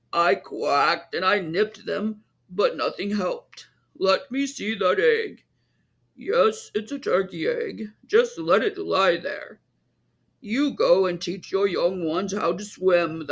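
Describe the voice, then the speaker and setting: A man puts on a raspy character voice, pitched high and delivered at a fairly slow pace. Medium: read story. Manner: bossy, know-it-all.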